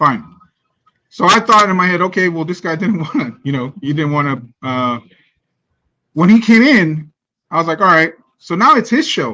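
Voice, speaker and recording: A man's high-pitched, animated voice, bright and sharp in tone, at a moderate pace with long, frequent pauses. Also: lively intonation. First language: not English. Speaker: fan podcast panelist. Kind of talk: casual sports discussion.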